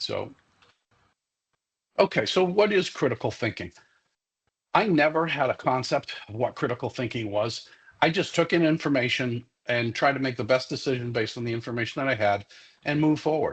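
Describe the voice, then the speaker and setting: A somewhat breathy man's voice at medium pitch with a Massachusetts accent, long and frequent pauses, and a quiet background. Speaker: security expert, former police officer. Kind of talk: professional development lecture. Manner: many fillers and repetitions.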